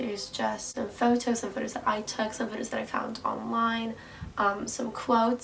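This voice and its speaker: At a moderate pace, a woman with a fairly high voice speaks over noticeable background noise. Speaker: university student. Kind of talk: casual talk to camera, vlog tour.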